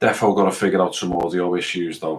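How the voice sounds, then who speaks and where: This man has a very deep, low pitch and an English accent. He speaks at a moderate pace. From England. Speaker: gaming streamer. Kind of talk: live gameplay commentary. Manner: casual, rambling.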